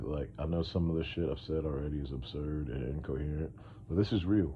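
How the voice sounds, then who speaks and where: A man with a very deep, low pitch talks at a moderate pace with ordinary pitch variation, and room echo is audible. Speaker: podcast host. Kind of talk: casual monologue. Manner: rambling, hesitant with fillers.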